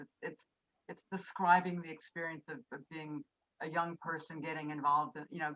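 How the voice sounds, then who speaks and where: A woman with an American accent talks at a fairly quick pace in an ordinary speaking voice, her pitch fairly low and her intonation fairly even, the sound dry and close with no echo. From US West, Berkeley California. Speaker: author. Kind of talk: Q&A answer. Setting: video call.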